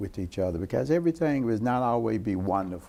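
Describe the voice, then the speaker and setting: At a moderate pace, a man talks in a fairly low voice. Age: 60s. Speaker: city council member. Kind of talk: interview. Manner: halting.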